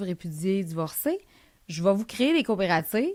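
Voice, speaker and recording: The recording of this woman is very clean, with a silent background. She speaks at a medium pitch with lively intonation. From Quebec, Lac-Saint-Jean (Alma). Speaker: entrepreneur, company founder. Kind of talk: interview conversation. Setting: studio. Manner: fast; animated.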